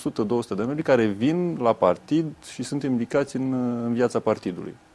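Lively intonation marks a man's delivery. He keeps to a moderate pace. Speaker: party youth leader. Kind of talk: interview answer. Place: studio. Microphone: lapel.

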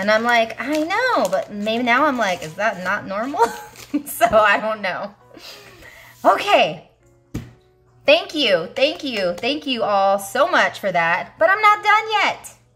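A woman speaks very slowly in an upbeat tone, her pitch swinging very widely, with long, frequent pauses and faint music in the background. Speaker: budgeting YouTuber. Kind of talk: casual talk to camera. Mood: warm, grateful, upbeat.

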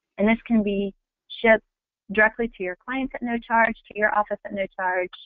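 With an unremarkable speaking voice, a woman talks at a fairly quick pace and with fairly even intonation. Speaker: travel company business development manager. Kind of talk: webinar sales presentation. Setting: webinar.

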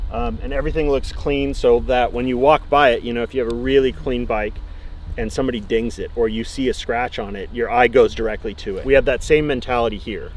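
A man speaks at a very fast pace. The sound is dry, with no echo. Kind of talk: casual explanation to visitors.

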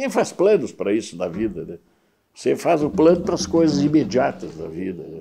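Dark and mellow in tone, a man's voice moves at a moderate pace with very wide pitch swings. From Porto Alegre, southern Brazil; Rio Grande do Sul, Brazil. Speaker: retired judge. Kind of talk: interview. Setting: at home. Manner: halting, frequent repetitions. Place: home room. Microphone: lapel.

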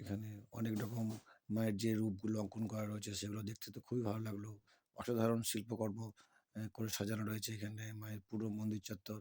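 The man's voice sits fairly low in pitch, with a dark, mellow tone and monotone, flat intonation. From West Bengal, Birbhum district. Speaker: travel vlogger. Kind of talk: travel vlog narration. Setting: outdoors at a temple.

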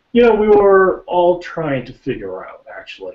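A man speaks fairly slowly amid audible room echo. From Japan. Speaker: actor. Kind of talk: casual chat. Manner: halting. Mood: modest, friendly. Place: home room. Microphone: webcam.

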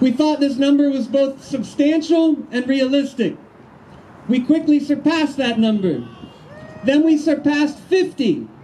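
The delivery is fairly slow, with fairly even intonation and very even loudness. Light background noise sits underneath. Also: man, extremely high pitch for a man. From Baltimore. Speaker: activist organizer. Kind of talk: press conference. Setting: outdoors. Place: street. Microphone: handheld.

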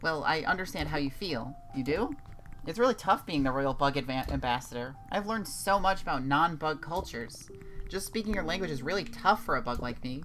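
Someone does a strained, put-on character voice at a middle pitch and a fairly quick pace. Clear background noise is present. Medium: game stream. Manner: friendly, earnest, gently self-deprecating.

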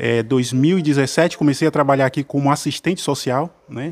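Speaking fairly slowly, a man uses a plain, everyday voice with a fairly high pitch and ordinary pitch variation. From Cruz das Almas, Bahia; Bahia. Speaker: military police officer and council candidate; council candidate. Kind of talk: radio interview. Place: studio. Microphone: studio mic.

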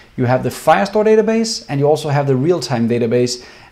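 A man speaks with a Danish accent. His pace is fairly quick. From Denmark. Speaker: software developer. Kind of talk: tutorial. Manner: casual, many fillers. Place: home room.

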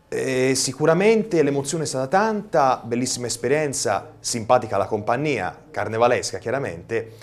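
Speaking at a moderate pace with hardly any pauses, a man keeps a medium pitch but swings it very widely. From Tuscany, Versilia (Pietrasanta); Tuscany, Italy. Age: 20s. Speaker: young TV director and videomaker; guest. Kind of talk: TV studio interview. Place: studio. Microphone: lapel.

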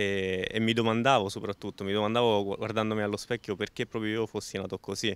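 At a fairly quick pace and with hardly any pauses, a man speaks at a fairly low pitch in a monotone, flat intonation. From Rome area, Italy. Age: 20s. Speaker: amputee footballer and author. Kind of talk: interview testimony.

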